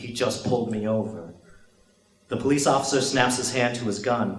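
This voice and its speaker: A man speaks at a medium pitch and a fairly slow pace. His intonation is fairly even, with noticeable background noise behind him. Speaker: spoken word poet. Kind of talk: spoken word poetry performance.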